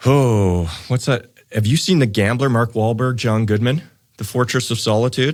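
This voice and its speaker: On a very clean recording with a silent background, an ordinary speaking voice with a Canadian accent talks at a moderate pace with ordinary pitch variation and very even loudness. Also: man, medium pitch for a man. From Canadian prairies, Saskatoon, Saskatchewan. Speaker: financial planner, wealth management firm founder. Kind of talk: podcast interview.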